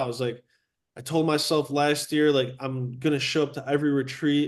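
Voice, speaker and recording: Over a quiet background, a man speaks in a Chicago accent at a moderate pace. His fairly high voice stays monotone and flat. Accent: Chicago American English. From Chicago southwest suburbs, US. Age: 20s. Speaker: real estate agent. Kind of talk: casual chat.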